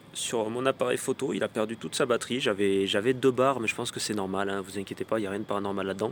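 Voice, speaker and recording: Very fast male speech at a medium pitch, with ordinary pitch variation. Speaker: paranormal investigator vlogger. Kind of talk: vlog commentary.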